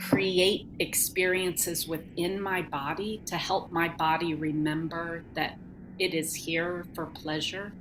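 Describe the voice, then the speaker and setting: Her voice is fairly low-pitched and monotone, with flat intonation, as this woman speaks at a very slow pace. Noticeable background noise sits behind her. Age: 50s. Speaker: sensuality teacher and healer. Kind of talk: interview answer.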